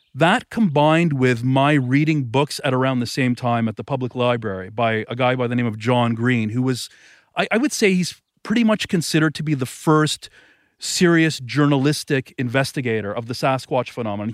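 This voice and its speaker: A man speaks at a medium pitch and a fairly quick pace, in a normal speaking voice. The recording is very clean, with a silent background. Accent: Canadian. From Canada, Thornhill outside Toronto. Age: 40s. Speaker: author. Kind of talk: interview conversation. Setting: outdoors by a lake.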